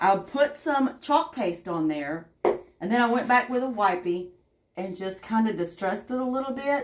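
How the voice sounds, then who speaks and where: In a Southern US accent, a woman speaks at a moderate pace with a fairly high pitch. Her tone is animated, and her pitch swings very widely. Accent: Southern twang. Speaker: craft livestreamer. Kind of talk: live crafting tutorial with chat. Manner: chatty, animated.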